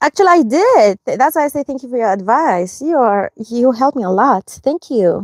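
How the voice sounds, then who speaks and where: Pitch swings very widely at a moderate pace, with a non-native accent and hardly any pauses. The sound is dry and close, with no echo. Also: woman, high pitch for a woman. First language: not English. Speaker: lifestyle vlogger. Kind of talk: casual chat with AI assistant. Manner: halting, hesitant.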